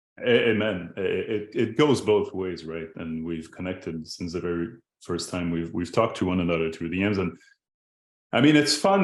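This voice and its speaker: Lively intonation in a French-Canadian accent, at a moderate pace, against a quiet background. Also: man. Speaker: podcast host. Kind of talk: casual interview.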